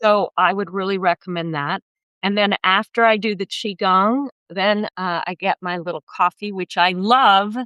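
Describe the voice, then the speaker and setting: A woman speaks in a plain, everyday voice at medium pitch. Her intonation is fairly even. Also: moderate pace. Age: 60s. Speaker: therapist and spiritual wellness teacher. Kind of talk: casual interview.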